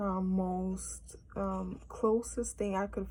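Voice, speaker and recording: With a strong Cape Verdean accent, a woman speaks at a very slow pace amid audible room echo. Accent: heavy Cape Verdean Creole. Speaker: language teacher vlogger. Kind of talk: tutorial. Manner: halting, with many fillers.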